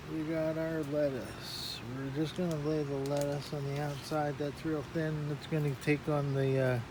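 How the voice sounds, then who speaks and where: The soft-spoken voice has monotone, flat intonation at a moderate pace. Audible room echo surrounds it. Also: man. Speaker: hobbyist gardener vlogger. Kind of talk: casual tutorial. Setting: inside a greenhouse. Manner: halting with many fillers.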